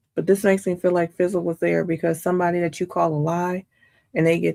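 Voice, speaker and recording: Speaking quietly but in an animated tone, a woman with a fairly low pitch talks at a fairly quick pace in a very clean recording with a silent background and a dry, close sound with no echo. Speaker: trial commentary streamer. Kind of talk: live commentary. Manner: casual, animated.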